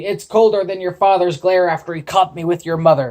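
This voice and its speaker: Someone uses a put-on character voice at a fairly quick pace. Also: man, high pitch for a man. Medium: read story. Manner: grumbling, salty.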